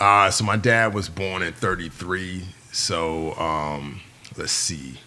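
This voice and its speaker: Through audible room echo and noticeable background noise, a man speaks at a very deep, low pitch with ordinary pitch variation. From New York City, the Bronx. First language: Yoruba. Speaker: former navy SEAL and filmmaker. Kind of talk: casual interview chat. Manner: animated, fast with many fillers.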